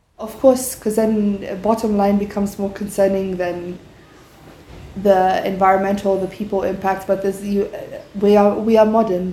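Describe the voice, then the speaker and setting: The speech moves at a moderate pace. Room echo is audible, and there is noticeable background noise. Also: woman. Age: 20s. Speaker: entrepreneur. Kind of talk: interview.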